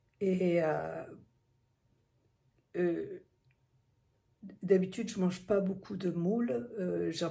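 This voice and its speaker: The woman's voice is somewhat breathy, dark and mellow, at a medium pitch. Audible room echo surrounds it. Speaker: vlogger. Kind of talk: vlog. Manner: hesitant, many fillers; quiet.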